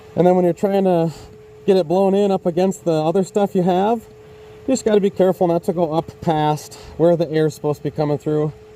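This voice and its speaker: In a dry, close sound with no echo but noticeable background noise, a man talks at a fairly quick pace in a high pitch with ordinary pitch variation. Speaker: homestead vlogger. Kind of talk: casual vlog narration. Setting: house under renovation, attic. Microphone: muffled by face mask.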